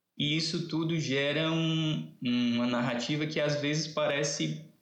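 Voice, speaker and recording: With audible room echo around him, a man talks fairly slowly in a fairly high voice. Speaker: literature professor. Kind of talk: casual interview. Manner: animated.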